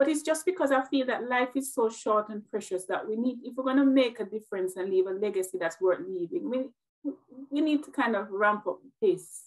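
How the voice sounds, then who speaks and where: A Jamaican accent, lively intonation and a fairly quick pace. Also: woman, fairly high pitch for a woman. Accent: Jamaican, described as melodic. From Jamaica, Westmoreland. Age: 40s. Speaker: nurse and motivational speaker. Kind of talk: interview conversation. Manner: direct.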